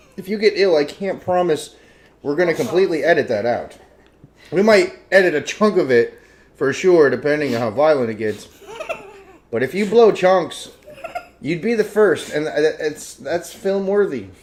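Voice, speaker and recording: Loud and high-pitched, a man speaks at a moderate pace with lively intonation and long, frequent pauses amid noticeable background noise. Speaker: talk show host. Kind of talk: casual chat.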